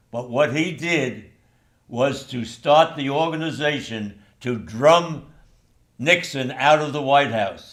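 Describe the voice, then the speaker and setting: Audible room echo carries a man's fairly high-pitched voice with ordinary pitch variation. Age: 90s. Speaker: former college athlete. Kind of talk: interview.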